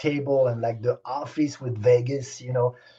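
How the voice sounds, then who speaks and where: A man with a French accent speaks at a moderate pace in a dark, mellow, somewhat breathy tone. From Senegal. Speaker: stunt helicopter pilot. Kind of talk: interview. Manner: animated.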